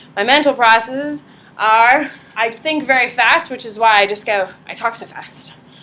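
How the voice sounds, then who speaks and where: Bright, sharp tone with big swings in loudness, ordinary pitch variation, and audible room echo. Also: woman. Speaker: high school psychology teacher. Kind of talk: classroom lecture. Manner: fast; animated.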